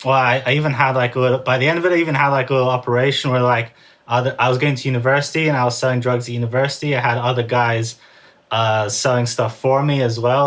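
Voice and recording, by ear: A man speaks fast at a medium pitch, his tone fairly bright and his intonation fairly even.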